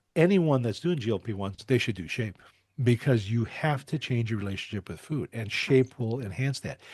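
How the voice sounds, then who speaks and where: Against a quiet background, a man with a somewhat breathy voice speaks at a medium pitch and a moderate pace, his intonation lively. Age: 70s. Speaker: doctor and program founder. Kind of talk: interview. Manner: halting.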